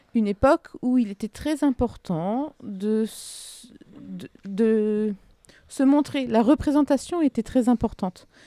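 A woman's fairly high voice with a dark, mellow tone, a very slow pace, big swings in loudness and a dry, close sound with no echo. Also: ordinary pitch variation. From France, southern Ardennes. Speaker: architect. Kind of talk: interview. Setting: studio.

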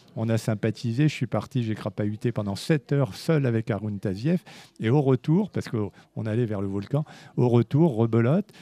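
With a dark, mellow tone and medium pitch, a man speaks at a moderate pace with ordinary pitch variation, in a dry, close sound with no echo and a quiet background. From France, Spanish family. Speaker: music journalist and author. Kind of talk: interview. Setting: live event interview.

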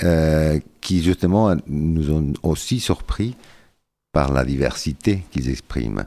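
On a very clean recording with a silent background, a man with a very deep, low pitch and a dark, mellow tone speaks at a very slow pace with lively intonation. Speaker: cultural association president. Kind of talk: radio interview. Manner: hesitant, searching for words.

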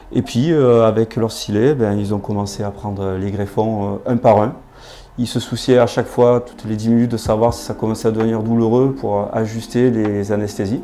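A man of medium pitch talks at a moderate pace. His intonation is fairly even. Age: 40s. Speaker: hair transplant patient. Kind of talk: testimony. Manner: halting, many hesitations.

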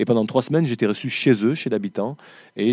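A man's dark, mellow tone. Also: quiet background. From southwest France, foot of the Pyrenees. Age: 50s. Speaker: writer. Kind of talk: interview with school pupils. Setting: school library with live audience. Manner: frequent word repetitions and hesitations.

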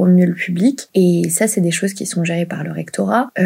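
This is a woman with an ordinary speaking voice. Her pitch sits at medium, with ordinary variation. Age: 20s. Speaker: work psychologist. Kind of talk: interview conversation. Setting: remote recording.

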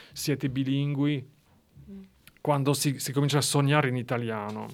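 A man with a French accent on a very clean recording with a silent background. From eastern France. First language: French (speaking Italian). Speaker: writer. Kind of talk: interview. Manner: halting.

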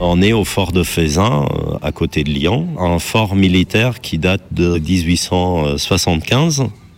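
The speech moves at a very slow pace with very even loudness. Pitch variation is ordinary. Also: man, very deep, low pitch for a man. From Germany. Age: 40s. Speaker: tightrope walker. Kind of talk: interview testimony. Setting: outdoors.

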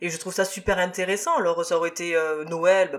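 His pitch is high for a man. Lively intonation runs through his speech. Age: 30s. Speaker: podcast host. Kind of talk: casual chat.

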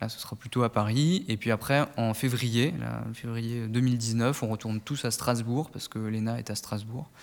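A man's medium-pitched voice moves at a moderate pace, captured on a very clean recording with a silent background. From Burgundy, France (Nièvre). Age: 20s. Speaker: civil service student. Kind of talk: interview. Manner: halting.

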